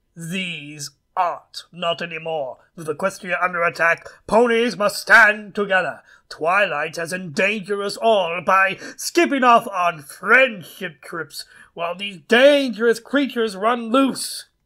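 A raised, projected voice with big swings in loudness and ordinary pitch variation. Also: man, high pitch for a man, fairly slow pace. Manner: formal, disapproving.

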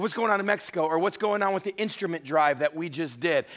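Against a quiet background, a man speaks very fast in a bright, sharp tone with ordinary pitch variation. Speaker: pastor. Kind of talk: sermon. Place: church.

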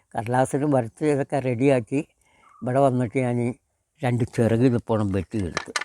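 A man with a medium pitch and a dark, mellow tone speaks with ordinary pitch variation in a dry, close sound with no echo. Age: 80s+. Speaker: wooden toy maker. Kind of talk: interview storytelling.

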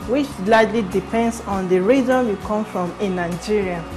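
Clear music sits in the background as a woman speaks with ordinary pitch variation. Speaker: cooking show host. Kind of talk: tutorial. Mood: warm, friendly. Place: kitchen. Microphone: lapel.

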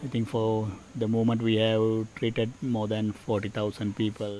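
A man is speaking. Clear music plays in the background. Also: dry sound with no echo. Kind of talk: interview answer. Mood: calm, earnest. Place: open country.

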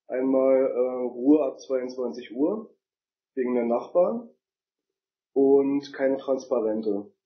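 A man talks at a very slow pace with a medium pitch. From Berlin.

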